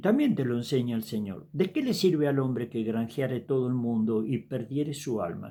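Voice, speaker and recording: A man's medium-pitched voice, dark and mellow in tone, with lively intonation. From Argentina. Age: 70s. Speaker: evangelist preacher. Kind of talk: sermon. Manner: casual, conversational.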